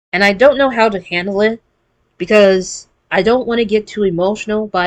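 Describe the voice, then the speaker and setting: A woman at medium pitch talks fairly quickly, her pitch varying in an ordinary way. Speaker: gaming YouTuber. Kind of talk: casual gaming news commentary.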